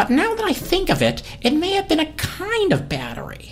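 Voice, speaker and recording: A squeaky, put-on character voice speaks at a moderate pace with clear background noise. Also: woman. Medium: read story. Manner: eager, chatty.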